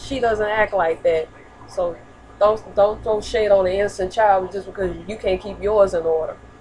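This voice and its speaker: Against noticeable background noise, a woman speaks at a medium pitch and a moderate pace. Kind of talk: casual talk to camera. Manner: stuttering.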